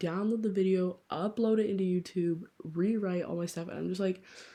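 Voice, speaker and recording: At a fairly quick pace, a woman with a somewhat breathy, medium-pitched voice speaks with fairly even intonation. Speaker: book podcaster. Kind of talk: casual chat. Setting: late-night home recording. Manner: fast; whispering close to mic. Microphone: held very close to mouth, mouth noises audible.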